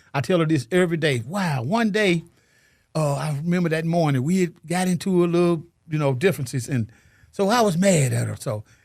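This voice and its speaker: In a very clean recording with a silent background, a man with an American accent uses a normal speaking voice, fairly high pitch, ordinary pitch variation and a fairly quick pace. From US South, Chattanooga Tennessee. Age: 60s. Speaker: single father, painter. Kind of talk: interview, casual chat.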